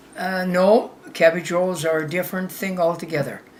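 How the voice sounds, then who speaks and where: Medium-pitched female speech at a fairly slow pace amid noticeable background noise. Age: 90s. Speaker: grandmother. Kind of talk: casual chat. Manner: halting.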